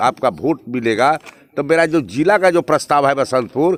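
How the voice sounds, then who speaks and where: Vocal fry runs through a man's fairly high-pitched voice with ordinary pitch variation at a moderate pace. The sound is dry and close, with no echo. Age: 60s. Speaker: politician. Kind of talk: campaign interview. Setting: outdoors at night.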